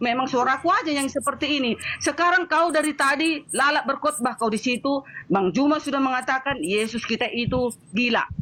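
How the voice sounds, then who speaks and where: An angry woman speaks in a raised, projected voice with a high pitch. Her pace is fairly quick and her loudness very even. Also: ordinary pitch variation. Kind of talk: heated debate. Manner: loud, sounds angry by nature; forceful, interrupting.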